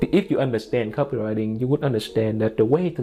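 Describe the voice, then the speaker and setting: Music plays behind a man with a Vietnamese accent who talks at a fairly quick pace and medium pitch with ordinary pitch variation. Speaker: online marketing educator. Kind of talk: casual tutorial to camera. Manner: informal, many fillers like you know.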